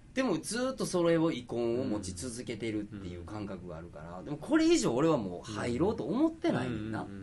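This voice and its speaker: A man with a Kansai accent at a fairly quick pace, hardly any pauses, big swings in loudness and audible room echo. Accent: Kansai (Osaka) dialect. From Osaka. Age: 40s. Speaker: fashion designer and podcast co-host. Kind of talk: casual chat.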